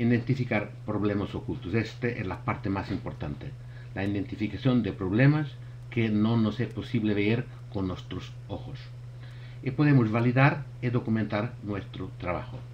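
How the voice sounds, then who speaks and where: A man at medium pitch and moderate pace, fairly even intonation, with audible room echo. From Portugal. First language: Portuguese (speaking Spanish). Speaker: thermography expert presenter. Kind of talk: webinar presentation. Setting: online webinar. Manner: halting.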